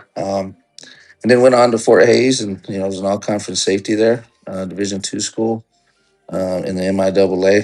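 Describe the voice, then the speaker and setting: Music plays in the background as a man speaks at a fairly quick pace. His fairly low voice keeps a fairly even intonation. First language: Spanish. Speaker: junior college football head coach. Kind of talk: casual interview.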